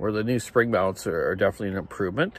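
The sound is dry with no echo, and the pitch variation is ordinary. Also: man. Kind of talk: casual vlog chat. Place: street. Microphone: phone near.

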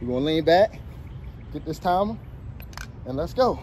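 Light background noise accompanies a man talking at a moderate pace. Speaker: fitness trainer. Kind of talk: workout instruction. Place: open country. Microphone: phone near.

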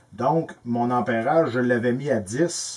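A man is speaking. He has a Quebec accent. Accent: Québécois French. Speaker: electrical tutorial youtuber; presenter. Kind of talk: tutorial. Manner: casual, halting with repetitions. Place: workshop.

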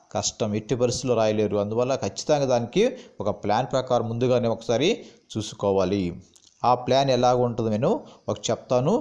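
A man speaks at a medium pitch with a dark, mellow tone, very even loudness and ordinary pitch variation. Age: 40s. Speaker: government employee and exam-prep tutor. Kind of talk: tutorial.

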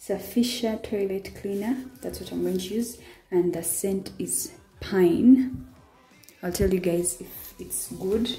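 Faint music plays behind a woman who speaks at a very slow pace, with ordinary pitch variation and big swings in loudness. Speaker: vlogger cleaning her bathroom. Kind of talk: casual vlog chat. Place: bathroom. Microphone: camera far.

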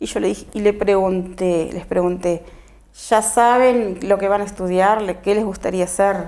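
At a fairly slow pace, a woman talks with an ordinary speaking voice. Her pitch is medium and her intonation fairly even. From Uruguay, Artigas; Uruguay. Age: 50s. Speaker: local political candidate and shop owner; candidate. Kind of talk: TV interview. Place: studio.

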